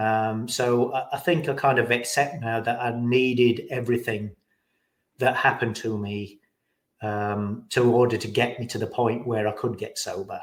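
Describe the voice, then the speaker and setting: On a very clean recording with a silent background, a man with an English accent speaks at medium pitch and a moderate pace with fairly even intonation. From England. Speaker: recovering alcoholic sharing his story. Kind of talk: interview. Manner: halting.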